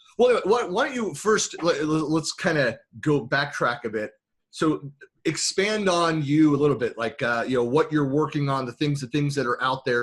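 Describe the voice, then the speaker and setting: This man's voice sits at a fairly high pitch and is somewhat breathy. He talks at a fairly quick pace with lively intonation. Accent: American. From US West Coast, San Francisco Bay Area. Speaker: tech consultant and podcast host. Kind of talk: casual interview chat. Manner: fast; halting, many fillers and restarts.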